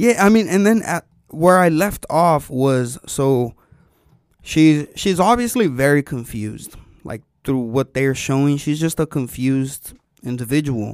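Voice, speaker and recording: In a normal speaking voice, a man with a fairly high pitch talks at a fairly slow pace with lively intonation. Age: 20s. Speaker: podcast co-host. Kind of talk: casual chat.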